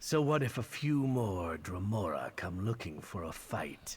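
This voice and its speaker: A man's put-on character voice, fairly low and fairly slow. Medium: video game. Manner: formal, measured.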